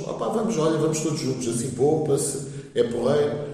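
Lively intonation at a moderate pace, with audible room echo and noticeable background noise. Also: man. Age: 40s. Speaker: football supporter. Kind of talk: casual chat.

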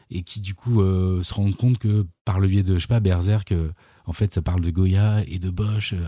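Somewhat breathy and dark, mellow in tone, a man speaks at a moderate pace with a fairly low pitch. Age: 40s. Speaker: YouTuber, musician and screenwriter. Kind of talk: casual chat. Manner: hesitant, many fillers and repetitions.

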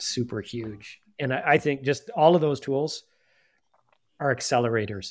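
A man with an ordinary speaking voice and a Canadian accent talks at a moderate pace with ordinary pitch variation in a very clean recording with a silent background. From Canada (Nepean, Ontario), born in UK. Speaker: design leader. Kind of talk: casual chat.

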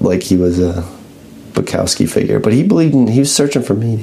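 There is noticeable background noise under this man's voice. He speaks with lively intonation and a fairly low pitch. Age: 30s. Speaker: podcast host and small press publisher. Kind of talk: casual chat.

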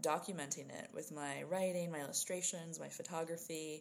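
Speaking in an American accent, a woman with a very deep, low pitch keeps a flat monotone at a moderate pace. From New Jersey. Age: 20s. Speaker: writer. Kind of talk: casual interview.

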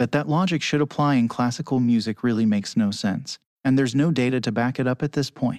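Over a quiet background, a man of medium pitch speaks very fast with ordinary pitch variation and very even loudness, the sound dry and close with no echo. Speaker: orchestra conductor. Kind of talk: casual interview.

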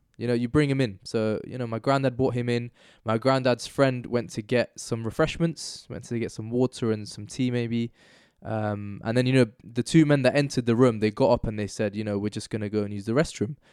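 A man with a London accent at a fairly quick pace, fairly even in intonation, on a very clean recording with a silent background. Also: medium pitch for a man. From northwest London. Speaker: activist and podcast guest. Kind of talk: casual chat.

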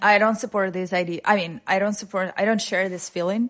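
A woman's medium-pitched voice with a Russian accent and fairly even intonation. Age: 30s. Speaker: radio journalist. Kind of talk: casual chat.

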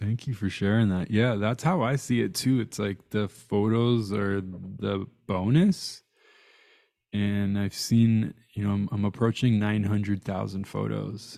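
A man speaks at a fairly slow pace in a dark, mellow tone. His intonation stays fairly even. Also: fairly low pitch for a man. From born in Iran. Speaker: photographer and meditation leader. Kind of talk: casual chat. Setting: audio-only call.

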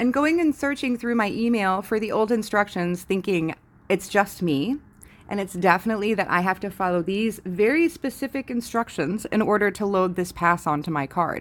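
This woman has an ordinary speaking voice at a medium pitch. She speaks at a moderate pace with lively intonation. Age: 40s. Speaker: podcaster. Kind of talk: personal monologue. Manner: casual.

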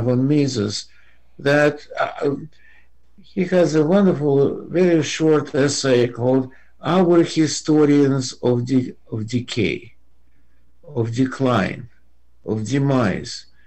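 In a Russian accent, a man with a fairly high pitch talks at a very slow pace with ordinary pitch variation. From Russia (Soviet Union). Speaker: economics professor. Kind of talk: interview. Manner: halting.

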